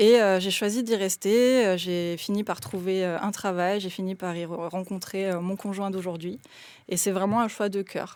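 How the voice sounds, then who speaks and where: A woman's medium pitch at a fairly slow pace, with fairly even intonation. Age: 30s. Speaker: sociologist and municipal candidate. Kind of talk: radio interview. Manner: hesitant, many fillers.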